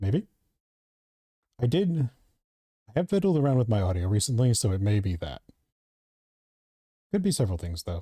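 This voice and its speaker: A soft-spoken man with a medium pitch and dark, mellow tone sounds somewhat breathy, talking at a fairly quick pace with very wide pitch swings and long, frequent pauses. The sound is dry and close with no echo over a very clean, silent background. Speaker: gaming streamer. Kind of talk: casual live stream chat.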